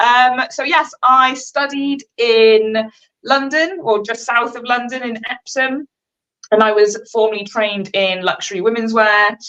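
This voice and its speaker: With a Welsh accent, a woman speaks fairly slowly at a fairly high pitch, her tone bright and sharp and her pitch variation ordinary. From Wales. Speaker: fashion designer. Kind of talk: casual chat. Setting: live stream.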